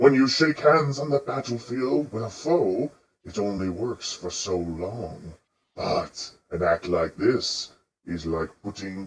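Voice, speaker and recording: A man's put-on character voice, medium in pitch and fairly slow in pace. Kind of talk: fantasy roleplay voice. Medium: actual play. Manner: formal, deliberate.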